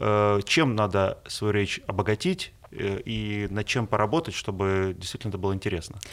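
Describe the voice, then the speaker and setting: Here is a plain, everyday voice from a man at a fairly low pitch. He keeps a moderate pace with ordinary pitch variation and hardly any pauses. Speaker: radio host. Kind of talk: interview.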